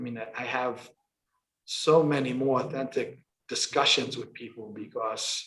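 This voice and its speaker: In a New York accent, a man speaks at a moderate pace. Audible room echo surrounds his voice. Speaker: construction company president. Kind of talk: interview.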